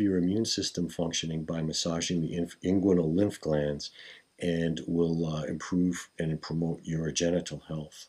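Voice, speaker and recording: A man's very deep, low voice at a fairly slow pace, over a quiet background. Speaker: qigong teacher. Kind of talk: tutorial. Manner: formal. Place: home room. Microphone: camera far.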